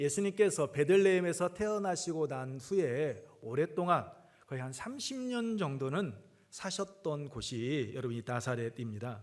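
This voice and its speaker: Very wide pitch swings mark this man's speech. His voice sits fairly high. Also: fairly slow pace. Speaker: pastor. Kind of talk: sermon. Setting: church with congregation.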